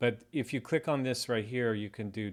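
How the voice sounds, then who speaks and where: The man is heard on a very clean recording with a silent background. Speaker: watchmaker YouTuber. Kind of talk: casual video update walkthrough. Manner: flat, bored-sounding; hesitant with fillers.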